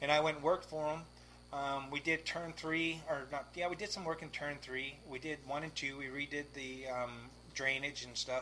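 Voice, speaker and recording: The man speaks at a moderate pace in a fairly high pitch. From Victoria, British Columbia, Canada. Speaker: race car driver. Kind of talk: casual chat. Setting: garage. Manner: animated.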